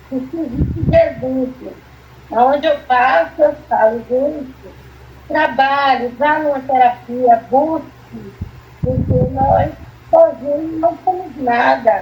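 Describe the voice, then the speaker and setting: Through noticeable background noise, a woman speaks at a very slow pace in a high pitch with ordinary pitch variation. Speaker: therapy patient, church member. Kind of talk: testimony.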